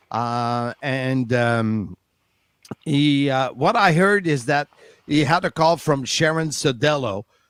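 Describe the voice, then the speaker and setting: A man with a French Canadian accent at a very slow pace, the sound dry and close with no echo. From Quebec, Canada. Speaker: wrestling commentator. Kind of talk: interview answer.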